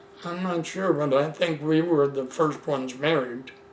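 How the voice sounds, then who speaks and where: Audible room echo surrounds a man whose fairly high voice moves at a fairly slow pace. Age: 80s+. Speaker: elderly man telling life story. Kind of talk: oral history interview. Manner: halting.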